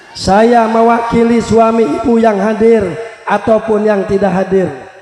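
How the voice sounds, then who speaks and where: A man's high-pitched voice at a fairly slow pace, very even in loudness, with noticeable background noise. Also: fairly even intonation. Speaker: Islamic preacher. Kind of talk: religious sermon to live audience. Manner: humorous.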